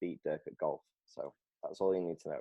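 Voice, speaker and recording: A man speaks. He has a Lancashire accent. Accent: northern English (Lancashire). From northern England, Preston. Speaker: volunteer youth pastor. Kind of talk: casual chat.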